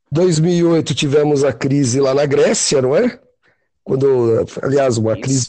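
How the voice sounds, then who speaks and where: Delivered at a fairly slow pace, the voice has a dark, mellow tone and big swings in loudness. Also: man, fairly high pitch for a man, ordinary pitch variation. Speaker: podcast host. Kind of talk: casual chat. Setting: call.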